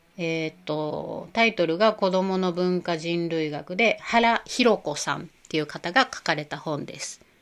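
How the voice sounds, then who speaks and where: Recorded very cleanly against a silent background, a woman speaks at a fairly slow pace with hardly any pauses. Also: ordinary pitch variation. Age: 40s. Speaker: podcast host, yoga and Ayurveda community organizer. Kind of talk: casual monologue. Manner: halting, many fillers.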